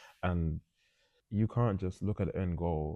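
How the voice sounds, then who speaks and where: A man talks with a very deep, low pitch and a dark, mellow tone, his fairly even intonation heard dry and close with no echo. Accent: London. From North London. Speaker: professional boxer. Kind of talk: interview. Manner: casual.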